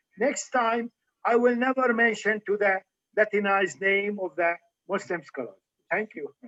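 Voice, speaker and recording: In a raised, projected voice with a bright, sharp tone and an Arabic accent, a man speaks at a high pitch and moderate pace, with ordinary pitch variation and long, frequent pauses. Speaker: physician and medical historian lecturer. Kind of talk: Q&A after lecture. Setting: livestream video call.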